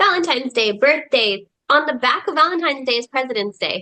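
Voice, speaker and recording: A woman speaks in a raised, projected voice at a fairly quick pace. Her high pitch swings very widely, and her tone is bright and sharp. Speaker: podcast host, homeschooling mom. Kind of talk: casual chat.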